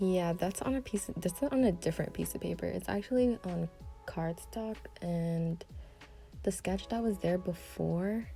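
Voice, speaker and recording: Music can be heard behind the speaker. She is a woman talking at an even, moderate speed. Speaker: amateur artist. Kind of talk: casual talk while drawing. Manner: hesitant, stuttering.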